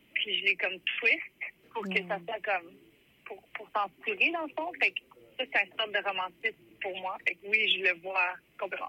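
This woman talks at a fairly slow pace with a medium pitch. Her intonation is lively. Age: 30s. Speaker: musician. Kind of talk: interview.

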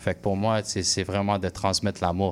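A man's fairly low voice with an English accent, monotone and flat, at a moderate pace. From Quebec, anglophone household. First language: English (speaking French). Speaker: musician, rapper. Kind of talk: radio interview. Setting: radio studio. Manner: halting, many repetitions.

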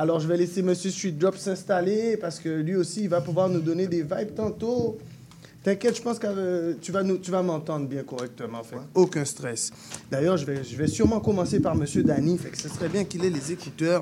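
This high-pitched voice belongs to a man. It shows ordinary pitch variation. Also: moderate pace. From Guadeloupe. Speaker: radio host. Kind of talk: radio show hosting and interviews. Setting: radio studio. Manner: enthusiastic.

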